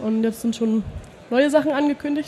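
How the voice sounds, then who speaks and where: Amid noticeable background noise, a woman speaks with fairly even intonation. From Germany, near Heidelberg. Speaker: Linux community volunteer. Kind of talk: interview. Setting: trade fair hall.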